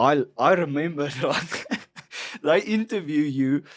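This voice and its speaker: With a South African accent, the speaker uses ordinary pitch variation. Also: man. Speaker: entrepreneur. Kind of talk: casual chat. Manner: animated.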